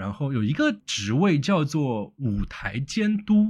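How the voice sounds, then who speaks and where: In a very clean recording with a silent background, a man with a Shanghai accent speaks in a somewhat breathy voice with very wide pitch swings. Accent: Shanghainese-accented Mandarin. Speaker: podcast host. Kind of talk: interview chat.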